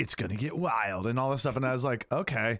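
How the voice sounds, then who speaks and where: A man's ordinary speaking voice at medium pitch and a fairly quick pace, with a dry, close sound with no echo, in a very clean recording with a silent background. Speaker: podcast host. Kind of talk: casual chat.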